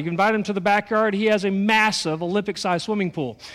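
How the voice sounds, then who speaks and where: Speaking very fast with fairly even intonation, the voice carries an American accent on a very clean recording with a silent background. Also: man. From Texas. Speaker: pastor. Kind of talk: sermon. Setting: church.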